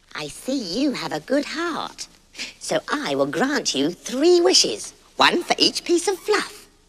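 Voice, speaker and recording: At a fairly slow pace, a put-on character voice is performed. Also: man, extremely high pitch for a man. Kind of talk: comic overacting. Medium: read story. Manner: chirpy and casual.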